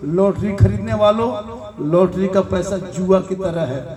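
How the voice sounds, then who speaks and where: Over noticeable background noise and audible room echo, a man speaks at a high pitch with ordinary pitch variation. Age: 50s. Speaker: Islamic preacher. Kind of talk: religious sermon.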